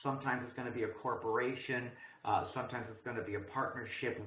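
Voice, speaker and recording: Room echo can be heard around this man's voice. He speaks fairly quickly. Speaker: program director and instructor. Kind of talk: webinar presentation. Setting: online webinar. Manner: fast.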